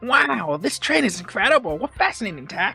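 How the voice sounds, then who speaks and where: Faint music plays in the background behind a put-on character voice at a middle pitch. It moves at a moderate pace with very wide pitch swings. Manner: excited, fascinated.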